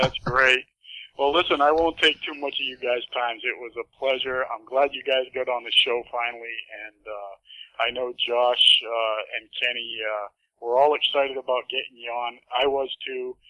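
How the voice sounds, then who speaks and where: With a Boston accent, a man talks at a moderate pace and medium pitch, his loudness swinging widely. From Massachusetts, Boston area. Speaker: radio host. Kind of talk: casual chat. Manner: animated.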